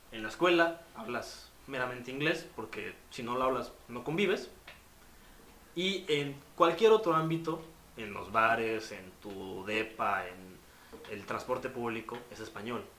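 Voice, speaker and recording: At a fairly slow pace, the voice makes very wide pitch swings and big shifts in loudness, with audible room echo and noticeable background noise. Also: man, medium pitch for a man. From Mexico. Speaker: communication and film student. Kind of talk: casual chat.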